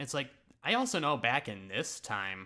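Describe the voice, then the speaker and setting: At a moderate pace, a man speaks in a bright, sharp tone in a very clean recording with a silent background. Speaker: YouTuber reacting to own old videos. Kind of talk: casual reaction commentary. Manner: casual with pauses and stutters.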